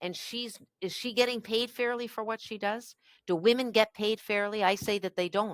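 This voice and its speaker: A woman with an unremarkable speaking voice and a Canadian accent talks at a moderate pace with fairly high pitch and fairly even intonation, in a dry, close sound with no echo. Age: 60s. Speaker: politician. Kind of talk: interview.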